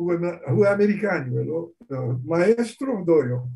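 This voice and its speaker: The speaker moves at a moderate pace with very wide pitch swings. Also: man. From Brazil, São Paulo. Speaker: guest discussing his father's politics. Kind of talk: interview. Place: home room. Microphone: video call.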